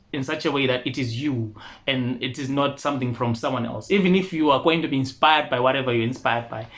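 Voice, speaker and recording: Speaking with an Ndebele accent, a man of medium pitch keeps a fairly quick pace and fairly even intonation. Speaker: rapper and singer. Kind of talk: interview. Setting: studio.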